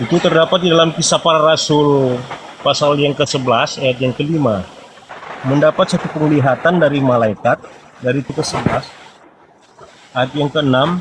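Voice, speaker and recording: Fairly high-pitched male speech in a North Sulawesi accent, with ordinary pitch variation, long, frequent pauses and noticeable background noise. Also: moderate pace. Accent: Manado accent, stiff Indonesian. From Manado, North Sulawesi, Indonesia. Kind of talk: call-in debate. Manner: halting.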